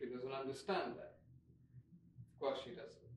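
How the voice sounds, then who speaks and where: A man speaks over light background noise, with audible echo from the room. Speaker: actor performing a monologue. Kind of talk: dramatic theatrical monologue. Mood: anguished and angry. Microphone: phone near.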